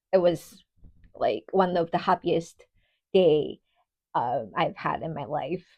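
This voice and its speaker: A woman speaks with a Japanese accent. Her pitch is medium and her pace moderate. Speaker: ballet dancer. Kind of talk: personal vlog talk. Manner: casual with fillers.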